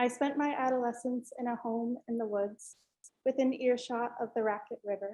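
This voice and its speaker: Soft-spoken and with an American accent, a woman speaks at a moderate pace in a high, dark and mellow voice with monotone, flat intonation. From Northern New York, US. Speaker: art student. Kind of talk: student presentation.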